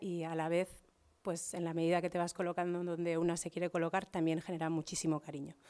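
Against a quiet background, a woman talks at a fairly quick pace in a fairly low pitch. Her tone is dark and mellow, and her intonation is monotone and flat. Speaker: social educator. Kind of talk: conference talk. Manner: fast. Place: hall. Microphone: podium.

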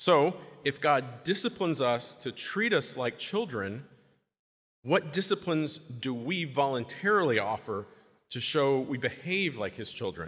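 Against a quiet background, a man speaks fairly slowly at a fairly high pitch, with very wide pitch swings. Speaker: deacon. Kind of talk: homily. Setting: church. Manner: earnest; conversational, measured. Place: church. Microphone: podium.

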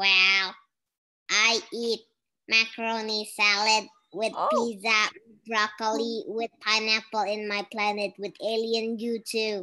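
This female-sounding voice is a put-on character voice pitched fairly high for a woman. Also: fairly slow pace. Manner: silly, playful.

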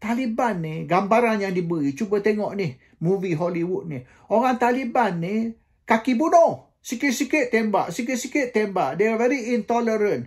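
The background is quiet. A man speaks with a high pitch. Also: lively intonation, moderate pace. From Malaysia. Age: 70s. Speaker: political commentator. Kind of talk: monologue commentary; commentary. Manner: hesitant with frequent fillers; code-switching Malay and English. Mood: dismissive, argumentative. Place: home room. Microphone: phone near.

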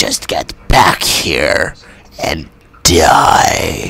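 In a put-on character voice, a man speaks with a raspy sound. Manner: impatient, menacing.

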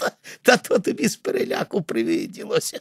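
Putting on a character voice, a man talks at a fairly quick pace in an extremely high pitch. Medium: read story. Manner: scoffing.

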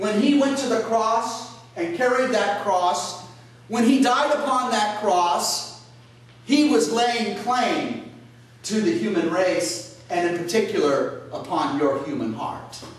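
In strong room echo, a man talks at a very slow pace with lively intonation. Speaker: priest. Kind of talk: sermon. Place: church. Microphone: camera far.

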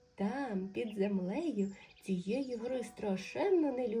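The voice is plain reading aloud. Pitch variation is ordinary.

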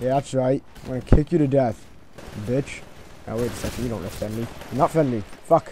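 Amid noticeable background noise, a man speaks at a very fast pace broken by long, frequent pauses. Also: medium pitch for a man, ordinary pitch variation. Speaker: gaming YouTuber. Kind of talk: gameplay commentary. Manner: animated. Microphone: new mic, voice a bit quiet.

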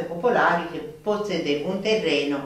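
A woman talks at a moderate pace. Strong room echo fills the recording.

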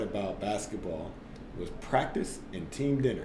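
Noticeable background noise sits behind a man with an American accent. He talks at a moderate pace with ordinary pitch variation. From US Midwest, St. Louis area; US Midwest. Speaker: former basketball player turned tech entrepreneur; podcast guest. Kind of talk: casual interview. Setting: studio, in person. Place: meeting room.

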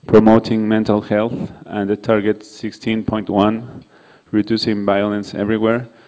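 A man's fairly low, dark, mellow voice with a non-native accent, monotone, flat intonation and a fairly slow pace over a quiet background. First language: not English. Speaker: conference speaker on violence prevention; presenter. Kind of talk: conference presentation. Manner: halting, many fillers. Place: hall. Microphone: podium.

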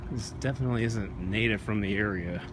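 With noticeable background noise but a dry sound with no echo, a man talks at a moderate pace with ordinary pitch variation. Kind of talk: casual vlog chat. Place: street. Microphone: phone near.

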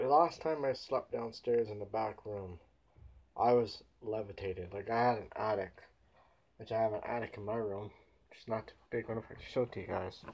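A man talks at a moderate pace with fairly even intonation, long and frequent pauses, and big swings in loudness. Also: medium pitch for a man. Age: 20s. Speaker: vlogger. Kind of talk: casual vlog monologue. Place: home room. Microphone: webcam.

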